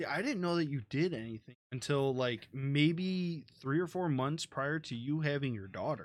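Using a plain, everyday voice, a man with an American accent talks at a moderate pace, fairly high in pitch with ordinary pitch variation. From United States. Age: 20s. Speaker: podcast host, gamer. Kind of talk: casual chat. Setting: live stream from home.

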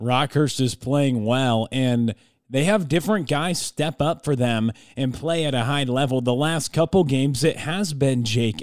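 In a very clean recording with a silent background, a man speaks fairly slowly at a medium pitch with lively intonation and very even loudness, in a normal speaking voice. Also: dry, close sound with no echo. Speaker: college basketball podcast co-host and analyst. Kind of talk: conversational sports analysis, offering opinions between the stat recaps. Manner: relaxed, conversational, opinionated.

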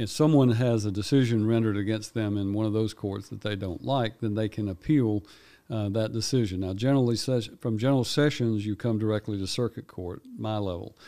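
With a Tennessee accent, a man talks at a fairly quick pace with hardly any pauses, using a fairly low pitch, a dark, mellow tone and fairly even intonation, in a very clean recording with a silent background. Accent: Tennessee Southern US. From Tennessee, Houston County. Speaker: circuit court judge. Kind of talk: interview. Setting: studio.

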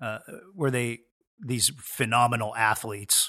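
In a very clean recording with a silent background, a man speaks at a medium pitch with a bright, sharp tone and fairly even intonation. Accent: Pacific Northwest. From Washington State, Puget Sound. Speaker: sports chaplain, former pastor. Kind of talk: casual interview. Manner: halting, many fillers and repeats.

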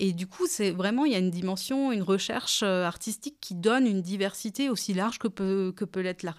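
Over a silent background, this very clean recording captures a woman at a medium pitch. She keeps a moderate pace and her pitch varies in an ordinary way. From France, Alsace (Kaysersberg). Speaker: wine cooperative communications manager. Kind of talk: interview. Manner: hesitant, with frequent fillers.

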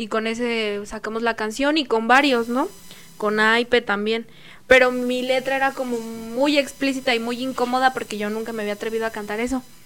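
At a moderate pace, the speaker talks in a central Mexican accent with monotone, flat intonation. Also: woman, fairly high pitch for a woman. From Mexico, State of Mexico (Nicolás Romero). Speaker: singer and rapper. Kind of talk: casual chat. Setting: studio.

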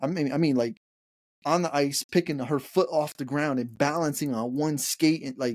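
Ordinary pitch variation marks this man's fairly high voice, which has a slightly mellow tone and a moderate pace.

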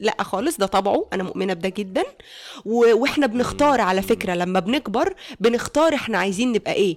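Fairly high in pitch, a woman speaks at a moderate pace in a plain, everyday voice. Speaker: stand-up comedian. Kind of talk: casual chat. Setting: video call.

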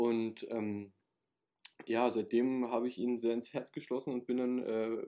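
The speaker is a man. His tone is dark and mellow. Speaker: camp counselor, former camp participant. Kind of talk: casual chat. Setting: recorded at home.

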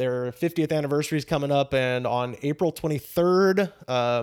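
A man with an American accent and a plain, everyday voice talks at a fairly quick pace and a fairly high pitch with ordinary pitch variation. The recording is very clean, with a silent background. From US South, Auburn, Alabama. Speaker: stand-up comedian and podcast host. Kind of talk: casual interview chat.

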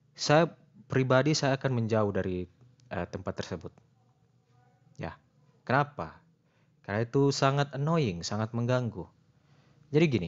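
A man talks at a moderate pace, broken by long, frequent pauses. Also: medium pitch for a man, lively intonation. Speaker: podcaster. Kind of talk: casual solo monologue. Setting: at home. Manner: halting, many fillers.

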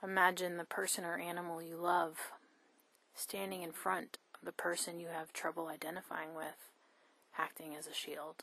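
A woman speaks at a moderate pace with a fairly low pitch, a bright, sharp tone, a warm, calm tone, a monotone, flat intonation and big swings in loudness. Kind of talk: guided meditation. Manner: warm, calm, tender and reassuring.

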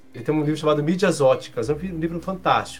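With music in the background, a man delivers his words at a fairly quick pace. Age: 40s. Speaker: journalist and professor. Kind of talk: casual chat.

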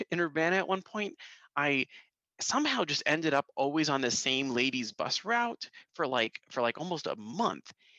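A man speaks loudly with lively intonation and a bright, sharp tone. The sound is dry and close, with no echo. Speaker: assistant professor. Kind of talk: casual chat. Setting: video call. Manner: halting.

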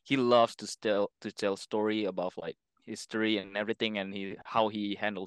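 In an Indonesian accent, a man with a fairly low pitch talks at a moderate pace, with a dry, close sound with no echo and a quiet background. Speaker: airsoft player. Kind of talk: casual chat. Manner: halting.

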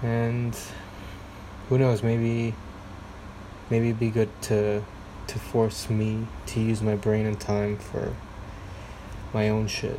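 Over noticeable background noise, a man speaks at a very slow pace in a monotone, flat intonation, with long, frequent pauses. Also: medium pitch for a man. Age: 30s. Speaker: solo podcaster. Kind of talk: casual solo monologue, rambling. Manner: self-deprecating, halting, filler-heavy.

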